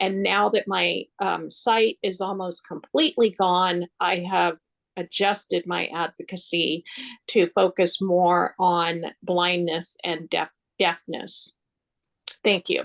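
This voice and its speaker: Very slowly, a woman speaks with vocal fry in a fairly low pitch and fairly even intonation, the sound dry and close with no echo. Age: 60s. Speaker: retired attorney and advocate. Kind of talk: panel discussion.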